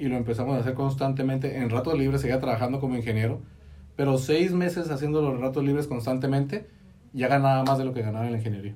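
A man speaks at a very fast pace with a medium pitch and fairly even intonation. His tone is dark and mellow, and somewhat breathy. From Mexico, Baja California (Tecate). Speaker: engineer and network marketing entrepreneur. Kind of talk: casual interview. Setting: studio.

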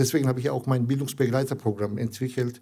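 With a Turkish accent, a man speaks in a dark, mellow tone with monotone, flat intonation. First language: Turkish (speaking German). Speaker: integration charity founder. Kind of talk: interview. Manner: halting, many hesitations.

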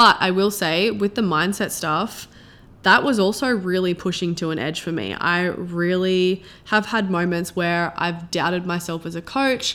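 Speaking with an Australian accent, a woman uses a medium pitch, a fairly slow pace, a bright, sharp tone and ordinary pitch variation. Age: 20s. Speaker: podcast host and coach. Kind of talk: solo podcast monologue. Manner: casual, chatty.

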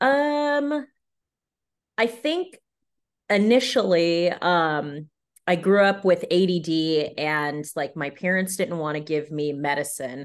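With a Californian accent, a woman with a fairly low voice speaks very slowly, her pitch swinging very widely, against a quiet background. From US West Coast, San Diego, California. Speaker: actress. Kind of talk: casual interview. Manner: animated.

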